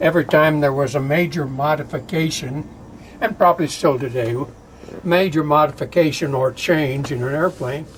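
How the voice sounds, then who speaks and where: Noticeable background noise is present. A man talks at a moderate pace with a fairly high pitch and ordinary pitch variation. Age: 80s+. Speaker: war veteran. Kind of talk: oral history interview. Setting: aircraft cockpit. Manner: casual, with many fillers.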